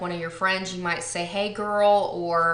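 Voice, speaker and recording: Monotone, flat speech in an American accent at a moderate pace, with audible room echo. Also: woman. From Texas. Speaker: beauty vlogger. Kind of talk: casual vlog chat. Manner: relaxed, many fillers.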